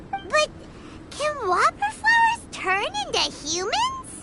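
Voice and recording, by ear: A cartoonish character voice squeaks at an extremely high pitch and a fairly slow pace. Loud background noise runs underneath.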